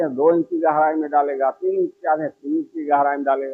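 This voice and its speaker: A man's voice with fairly even intonation. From Gorakhpur, India. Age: 70s. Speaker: grassroots innovator. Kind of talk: interview answer.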